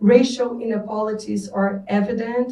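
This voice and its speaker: A woman's monotone, flat delivery in a Brazilian accent. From Brazil, Rio de Janeiro. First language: Portuguese. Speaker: panelist on urban mobility. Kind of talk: panel talk. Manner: halting, many fillers.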